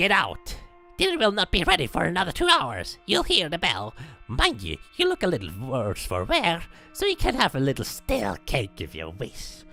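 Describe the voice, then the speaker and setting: Shouting in a gruff, put-on character voice, the speaker is heard over faint music in the background. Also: moderate pace. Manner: shouting, gruff.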